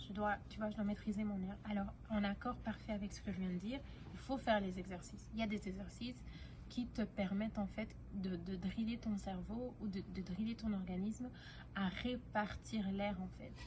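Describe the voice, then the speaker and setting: Noticeable background noise and audible room echo accompany a woman speaking. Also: moderate pace. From Belgium, Brussels. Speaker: singing teacher. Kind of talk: tutorial. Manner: halting, many fillers.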